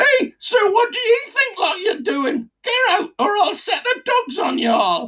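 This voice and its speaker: An extremely high-pitched, put-on character voice shouts at a fairly slow pace. There are hardly any pauses. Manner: yelling.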